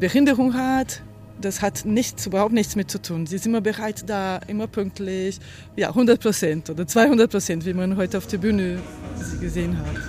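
Music plays in the background as a woman talks at a fairly slow pace. Her pitch is medium, with ordinary variation. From Brazil. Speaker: choreographer and dancer. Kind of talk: interview.

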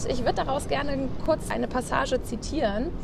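Noticeable background noise and audible room echo accompany a woman speaking at a high pitch with ordinary pitch variation. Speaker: podcast host, bank employee. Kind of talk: interview. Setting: outdoors on a bench at the harbour.

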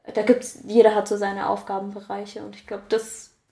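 A woman speaks in a flat monotone. Her pitch sits in the middle range. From Germany, Karlsruhe. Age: 20s. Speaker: winemaker and yoga teacher. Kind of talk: interview.

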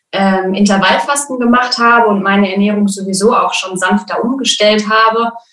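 A woman with a plain, everyday voice and a fairly high pitch talks at a moderate pace with fairly even intonation. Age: 20s. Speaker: birth preparation coach. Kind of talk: interview. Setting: video call.

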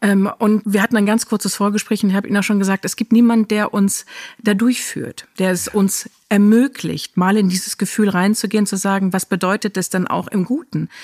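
A woman's unremarkable speaking voice at medium pitch, moderate pace and fairly even intonation, with hardly any pauses, in dry, close sound with no echo. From Germany. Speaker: podcast host. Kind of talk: interview conversation.

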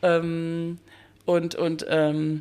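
A woman with a fairly low pitch. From Bosnia, raised from youth in Dortmund. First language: Bosnian (speaking German). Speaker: educator, cultural centre worker. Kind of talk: interview conversation.

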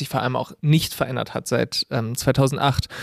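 A man speaks at a moderate pace with a fairly high pitch, in a very clean recording with a silent background. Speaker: podcast co-host, audio-video editor. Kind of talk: casual political discussion.

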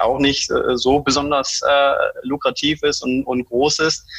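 Noticeable background noise is present. A man speaks over it in a fairly high pitch. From Germany. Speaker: digitalization consultant. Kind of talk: interview. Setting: online call. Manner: halting, many fillers.

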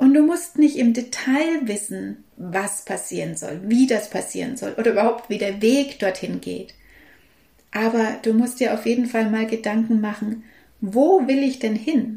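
Speaking at a fairly slow pace, a woman has a fairly high pitch, ordinary pitch variation, a dark, mellow tone and a somewhat breathy quality. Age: 50s. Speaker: holistic health coach and podcast host. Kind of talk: solo podcast monologue.

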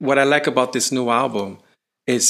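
With a plain, everyday voice, a man speaks at a moderate pace with fairly even intonation in a very clean recording with a silent background. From Canada, Haitian heritage. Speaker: pianist and bandleader. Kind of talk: interview. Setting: recital hall.

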